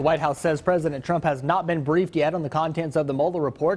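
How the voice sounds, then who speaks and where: Speaking at a very fast pace, a man with an American accent uses a fairly high pitch. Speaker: TV news anchor and reporter. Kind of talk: TV news anchor read.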